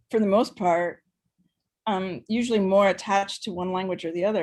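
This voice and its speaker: A woman with an American accent at a medium pitch, with ordinary pitch variation and a fairly quick pace. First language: Spanish. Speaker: writer and translator. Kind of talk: panel discussion. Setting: online video call. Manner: halting, many repetitions.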